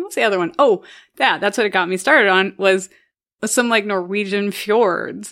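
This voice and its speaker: This woman has a plain, everyday voice at medium pitch with ordinary pitch variation. She keeps a moderate pace on a very clean recording with a silent background. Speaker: podcast host. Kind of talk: casual chat.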